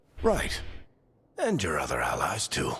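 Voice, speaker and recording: A man's raspy, put-on character voice. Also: moderate pace. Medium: video game. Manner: wry, easygoing, confiding.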